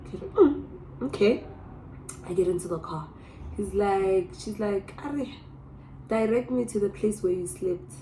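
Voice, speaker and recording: A woman speaks at a medium pitch and a fairly slow pace, her pitch swinging very widely, with long, frequent pauses and noticeable background noise. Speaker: vlogger. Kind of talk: storytime vlog. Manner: animated.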